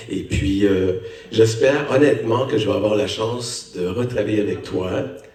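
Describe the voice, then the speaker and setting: Amid noticeable background noise and audible room echo, a man with a Canadian French accent speaks fairly slowly at a medium pitch with fairly even intonation. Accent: Canadian French accent, still noticeable. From Canada. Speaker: actor, lead role. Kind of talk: post-screening Q&A talk.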